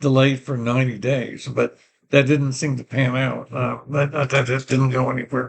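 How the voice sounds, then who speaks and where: Somewhat breathy and pitched in the middle range, a man's voice holds a monotone, flat intonation. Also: moderate pace. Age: 80s+. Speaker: vlogger. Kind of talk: personal vlog monologue. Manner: halting.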